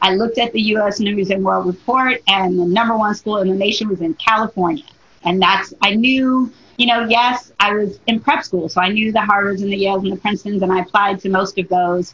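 A woman talks at a fairly quick pace with an American accent, in an ordinary speaking voice. Her pitch is medium and her intonation fairly even. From Detroit, Michigan. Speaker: diversity and inclusion consultant. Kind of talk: interview.

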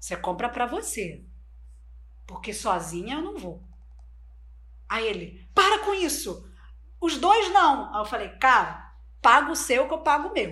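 A woman speaks very slowly with a Spanish accent, her pitch swinging very widely. Her tone is bright and sharp, and room echo is audible. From Brazil, Bolivian family. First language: Spanish (speaking Portuguese). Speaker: online course entrepreneur. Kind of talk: interview.

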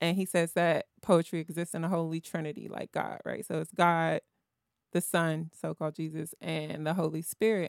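A woman talks at a fairly quick pace with a fairly low pitch and fairly even intonation. The recording is very clean and dry, close with no echo and a silent background. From Southeast Washington, DC. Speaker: poet and filmmaker. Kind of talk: casual interview. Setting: studio.

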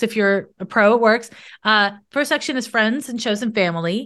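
A woman speaks at a moderate pace in a plain, everyday voice. Her fairly high pitch shows ordinary variation over a quiet background. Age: 40s. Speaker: astrologer and psychic. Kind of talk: casual interview chat.

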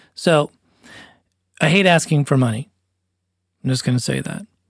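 In a very clean recording with a silent background and a dry, close sound free of echo, a man speaks in a somewhat breathy voice at a fairly high pitch. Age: 40s. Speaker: musician and podcast co-host. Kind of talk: casual chat.

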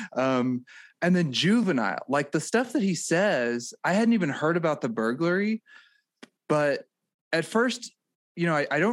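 The speaker has an American accent and talks at a moderate pace with very wide pitch swings. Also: man. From rural Missouri near St. Louis. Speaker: political podcast co-host. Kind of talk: casual political chat.

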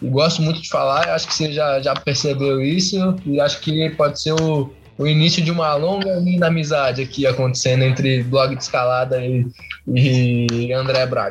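A man speaks at a moderate pace with a fairly high pitch and ordinary pitch variation, noticeable background noise behind him. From Curitiba, Paraná, Brazil. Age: 20s. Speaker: climbing coach and route setter. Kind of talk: casual interview.

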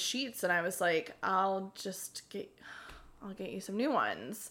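A woman at medium pitch speaks in an unremarkable speaking voice. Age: 30s. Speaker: podcast guest. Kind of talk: casual chat.

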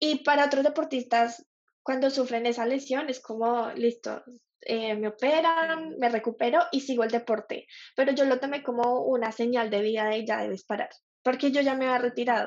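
In a high pitch, a woman talks with ordinary pitch variation. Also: moderate pace. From Colombia. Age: 20s. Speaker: graphic designer. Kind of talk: interview.

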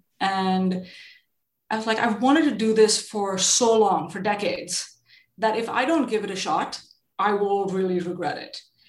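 A woman talks at a medium pitch. Audible room echo is present. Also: ordinary pitch variation, moderate pace. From India. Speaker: venture capitalist. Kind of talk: interview.

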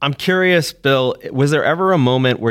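Lively in intonation and at a fairly quick pace, a man with a plain, everyday voice comes through in a very clean recording with a silent background. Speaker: podcast host and pizza writer.

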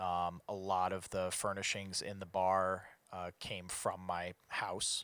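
Over a silent background in a very clean recording, a man with an American accent speaks very slowly in a bright, sharp tone, his very deep, low voice monotone and flat. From US Midwest, Chicago. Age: 30s. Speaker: bar owner and concert promoter. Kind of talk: casual chat.

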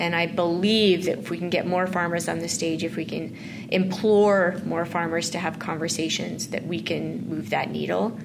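The speaker has a Canadian Prairies accent, a moderate pace, ordinary pitch variation, and hardly any pauses. Audible room echo and noticeable background noise are present. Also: woman, fairly low pitch for a woman. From Saskatchewan, Canada. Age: 40s. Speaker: farm advocacy organization leader. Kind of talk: interview conversation.

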